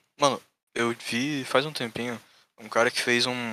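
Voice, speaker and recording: Recorded very cleanly with a silent background and a dry, close sound with no echo, a man speaks at medium pitch in a bright, sharp tone with fairly even intonation. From Santa Catarina, southern Brazil. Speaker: programmer, site developer. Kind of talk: casual chat.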